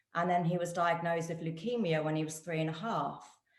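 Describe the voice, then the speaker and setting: Audible room echo around a woman with a very deep, low pitch. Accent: British. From UK. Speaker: guest, physiotherapist and nutritionist. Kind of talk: testimony.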